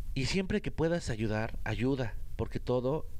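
The voice has vocal fry and a Mexican accent, moving at a fairly slow pace with ordinary pitch variation. Audible room echo surrounds it. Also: man. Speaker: podcast host. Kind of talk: personal monologue. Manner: halting, many fillers and repetitions.

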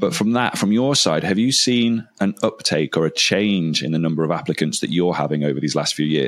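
The speaker talks in an English Midlands accent at a fairly quick pace, with hardly any pauses. The loudness stays very even. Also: man, very deep, low pitch for a man. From English Midlands (Lichfield). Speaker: podcast host, teacher. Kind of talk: interview, casual chat.

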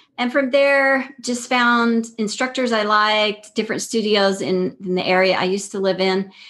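In a plain, everyday voice, a woman with an American accent talks at a moderate pace and a fairly high pitch, with ordinary pitch variation, hardly any pauses and a quiet background. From Texas, El Paso. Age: 50s. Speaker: yoga teacher. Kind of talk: casual interview.

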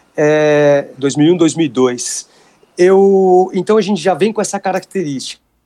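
This man has a high pitch and a dark, mellow tone. He talks at a very slow pace. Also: ordinary pitch variation. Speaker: jiu-jitsu instructor. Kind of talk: casual interview. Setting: Instagram live video call.

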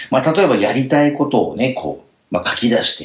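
A man's voice, fairly high in pitch. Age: 50s. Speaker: end-of-life planning consultant and radio host. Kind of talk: radio talk show chat.

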